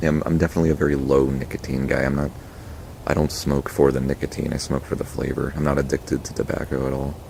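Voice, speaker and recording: Quiet and very fast, a man speaks at a very deep, low pitch in a monotone, flat delivery. Background noise is noticeable. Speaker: tobacco pipe reviewer. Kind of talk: casual review monologue.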